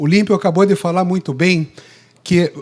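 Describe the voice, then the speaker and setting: Here a man with an unremarkable speaking voice talks at a moderate pace with ordinary pitch variation. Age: 60s. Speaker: obstetrician. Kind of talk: lecture. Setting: stage with audience.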